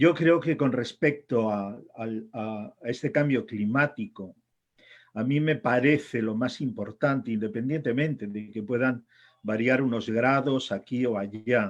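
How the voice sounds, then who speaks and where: A man's ordinary speaking voice, medium in pitch, with ordinary pitch variation at a fairly slow pace. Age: 60s. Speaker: author and editor. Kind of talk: talk. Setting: congress panel.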